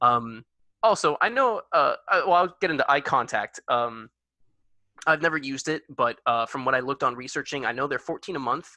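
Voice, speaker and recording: Recorded dry and close with no echo against a quiet background, a man speaks fairly quickly in a fairly high pitch with a bright, sharp tone. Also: lively intonation. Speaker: student club officer presenting a workshop. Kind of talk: workshop presentation. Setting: video call. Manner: fast; halting, stumbles over words.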